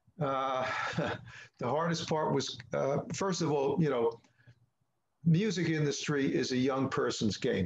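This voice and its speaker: Amid audible room echo, a man with a fairly high voice talks at a fairly slow pace, with ordinary pitch variation and long, frequent pauses. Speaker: musician. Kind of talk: interview answer. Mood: proud, upbeat. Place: home room. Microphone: webcam.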